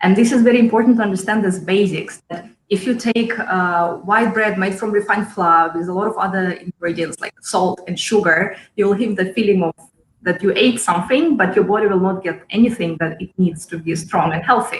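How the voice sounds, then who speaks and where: A somewhat breathy woman with a Russian accent at a fairly quick pace. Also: medium pitch for a woman, ordinary pitch variation. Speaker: chef and cooking school founder. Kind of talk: interview.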